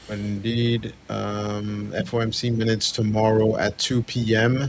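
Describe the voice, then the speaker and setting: Speaking with a non-native accent, a man uses a fairly low pitch and a monotone, flat intonation. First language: not English. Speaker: futures trading stream co-host. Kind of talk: live trading stream chat.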